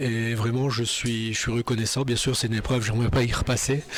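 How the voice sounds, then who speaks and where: A man speaks at a medium pitch in a monotone, flat delivery. Noticeable background noise runs underneath. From northern France (Nord). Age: 60s. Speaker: churchgoer giving testimony. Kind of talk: testimony. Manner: halting, many hesitations.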